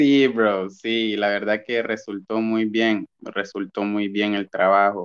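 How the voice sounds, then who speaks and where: Speaking at a very slow pace with hardly any pauses, a man uses a fairly low pitch and a monotone, flat intonation against a quiet background. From Honduras, Gracias a Dios department. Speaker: musical artist. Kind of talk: casual interview.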